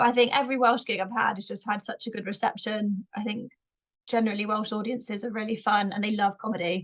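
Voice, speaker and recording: Speaking at a very fast pace, a woman with a slight Bristolian accent uses a fairly high pitch and monotone, flat intonation. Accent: slight Bristolian twang. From Bristol, England. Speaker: stand-up comedian. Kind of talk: podcast interview.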